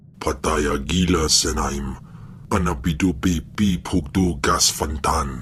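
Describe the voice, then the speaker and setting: Putting on a character voice, a man speaks at a very deep, low pitch and a fairly slow pace, with clear background noise. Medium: video game. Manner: speaks only an alien language.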